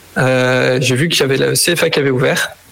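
A man at a medium pitch, speaking at a fairly slow pace over noticeable background noise. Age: 20s. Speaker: bike workshop technician. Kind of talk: interview.

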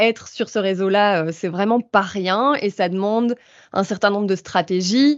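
This woman's voice sits at a medium pitch with ordinary pitch variation, at a fairly slow pace. It is an ordinary speaking voice. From Belgium. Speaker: doctoral student and activist. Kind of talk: casual chat.

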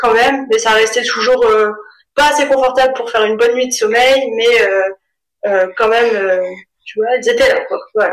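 Speaking at a fairly slow pace, a woman with a slight northern French accent keeps her intonation fairly even. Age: 30s. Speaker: mother sharing birth story, small business owner. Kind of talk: testimony. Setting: at home with baby present.

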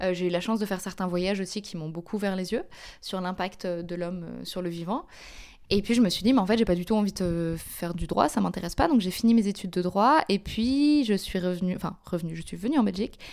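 On a very clean recording with a silent background, a woman with a normal speaking voice talks at a fairly quick pace. Her pitch is medium with ordinary pitch variation. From France (Paris). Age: 20s. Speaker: climate and social justice activist. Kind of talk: interview.

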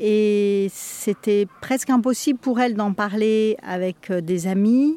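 At a very slow pace, a woman talks in a dark, mellow tone at medium pitch with ordinary pitch variation. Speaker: meditation teacher. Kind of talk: testimony. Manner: halting.

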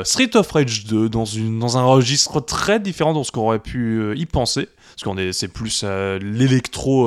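A man uses a normal speaking voice at medium pitch with ordinary pitch variation. He hardly pauses at all. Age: 40s. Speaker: podcast co-host. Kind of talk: casual chat.

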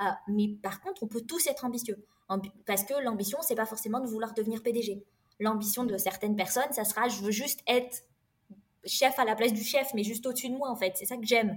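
A woman's normal speaking voice, fairly high in pitch, at a fairly quick pace with ordinary pitch variation. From France. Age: 30s. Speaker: engineer and career coach. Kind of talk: interview.

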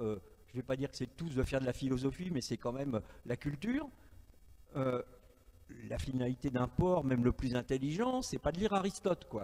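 A man's medium-pitched, dark, mellow voice with lively intonation, a fairly quick pace and long, frequent pauses. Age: 60s. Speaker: journalist and writer. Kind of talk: panel debate.

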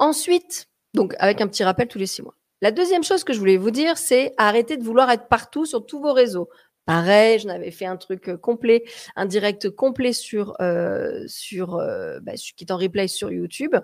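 A woman with a fairly high voice speaks at a moderate pace in an animated tone, her pitch swinging very widely and her loudness shifting in big swings. The recording is very clean, with a silent background. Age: 40s. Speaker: communication coach and podcast host. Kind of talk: live social media broadcast, tips talk. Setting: live stream on social media.

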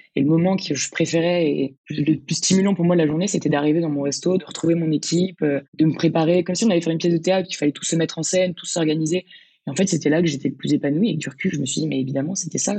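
Talking at a very fast pace, a woman has a dark, mellow tone and fairly low pitch. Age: 20s. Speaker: restaurant manager, former law student. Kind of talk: interview conversation. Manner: hesitant, many fillers.

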